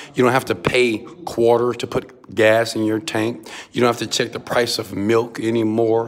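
A man talks at a moderate pace in an animated tone over light background noise. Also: medium pitch for a man. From Houston, Texas. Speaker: entrepreneur and motivational mentor. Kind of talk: pep talk, motivational preaching. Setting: filming vlog video inside hotel suite in Dubai. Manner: animated, emphatic, call-and-response, loud. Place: home room. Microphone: phone near.

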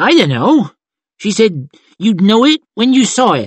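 Putting on a whiny character voice with a Northern English accent, a man speaks at a moderate pace in a high pitch with very wide pitch swings. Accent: rough Northern dialect. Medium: read story. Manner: nervous, evasive, rambling.

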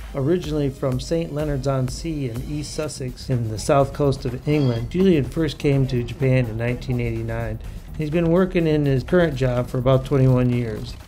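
Moderate-paced speech with hardly any pauses, music in the background. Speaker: channel host narrator. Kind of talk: documentary narration.

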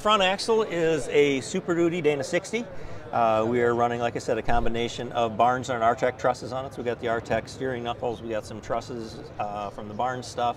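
A man talks at a fairly quick pace with ordinary pitch variation. The sound is dry with no echo, though noticeable background noise is present. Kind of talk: interview answer. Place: hall. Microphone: phone near.

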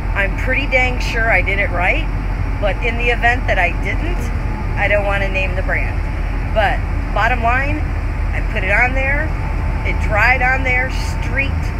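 A woman at a fairly slow pace with long, frequent pauses, over loud background noise. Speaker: RV traveler vlogger. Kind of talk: casual vlog chat. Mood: exasperated, humorous storytelling. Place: car. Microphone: phone near.

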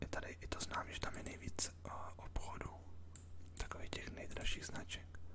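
Whispering and soft-spoken, a man talks at a fairly quick pace. Loud background noise surrounds him. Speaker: streamer. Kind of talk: casual commentary while browsing. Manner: soft close-mic ASMR whisper. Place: home room.

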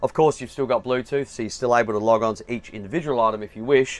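A man's very fast speech with ordinary pitch variation. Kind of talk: product walkthrough explanation. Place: home room. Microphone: headset.

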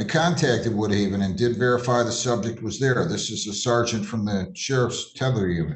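A man talks at a fairly quick pace with ordinary pitch variation, hardly any pauses, and audible room echo. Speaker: judge in a court hearing. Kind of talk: courtroom remarks, partly reading a report. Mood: puzzled, skeptical. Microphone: video call.

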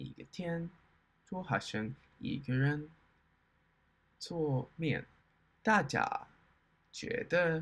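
A man talks at a very slow pace, fairly high in pitch with ordinary pitch variation. His loudness swings widely, and his pauses are long and frequent. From Australia. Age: 20s. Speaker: Mandarin learner, YouTuber. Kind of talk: reading aloud / book review in learner Mandarin. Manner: slow, halting. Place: home room. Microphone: webcam.

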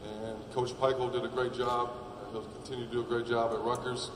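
Over light background noise and audible room echo, a man with an American accent talks at a fairly quick pace in a monotone, flat intonation. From Ohio, small town. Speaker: college basketball coach; basketball coach. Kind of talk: press conference remarks. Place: hall. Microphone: podium.

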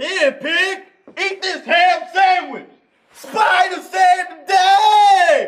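A man's shouted, put-on character voice, extremely high-pitched and very slow. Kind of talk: comedy skit. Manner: energetic, shouty.

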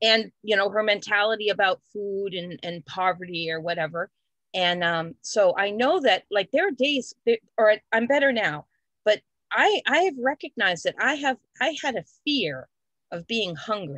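Over a quiet background, a woman speaks at a moderate pace and medium pitch with lively intonation. The sound is dry with no echo, and her pauses are long and frequent. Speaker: insurance agent; guest. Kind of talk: casual chat. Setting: video call. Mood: reflective, personal. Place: home room. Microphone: video call.

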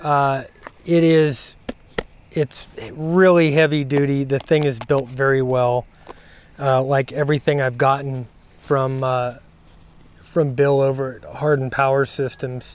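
The speech is fairly slow, with monotone, flat intonation and long, frequent pauses. The sound is dry, with no echo. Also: man. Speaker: ham radio operator reviewing gear. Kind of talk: casual product review vlog. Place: open country. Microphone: lapel.

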